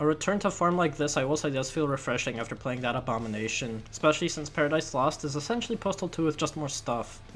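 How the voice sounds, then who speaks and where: A man at a very fast pace, fairly high pitch, ordinary pitch variation, noticeable background noise behind him. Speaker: video game reviewer. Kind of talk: game review voiceover. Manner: casual, sarcastic.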